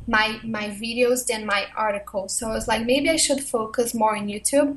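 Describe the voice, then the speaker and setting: A woman speaks with a high pitch and ordinary pitch variation. She has a Portuguese accent. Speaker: blogger and YouTuber. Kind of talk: interview.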